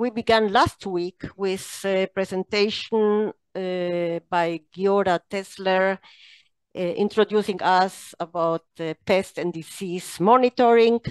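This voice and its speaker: A woman speaks very slowly with fairly even intonation, her voice dry with no echo against a quiet background. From Israel. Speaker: training center deputy director, moderator. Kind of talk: webinar moderation. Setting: online meeting. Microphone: video call.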